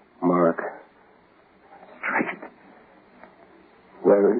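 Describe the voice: A man puts on a character voice at a low pitch and a very slow pace. It carries a slightly husky edge and little pitch movement.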